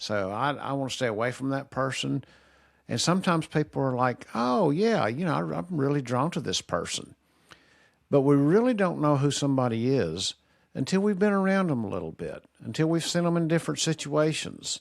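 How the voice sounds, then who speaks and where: In a very clean recording with a silent background, a man talks at a fairly quick pace and a fairly high pitch, his pitch swinging very widely. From Kentucky. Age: 60s. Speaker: retired teacher, video commentator. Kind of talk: casual monologue. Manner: straightforward, plain.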